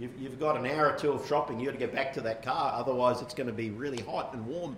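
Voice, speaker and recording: A man speaks with an Australian accent and ordinary pitch variation. There is audible room echo and light background noise. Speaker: pastor. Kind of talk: sermon. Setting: church. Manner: hesitant, frequent fillers. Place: church. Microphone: lapel.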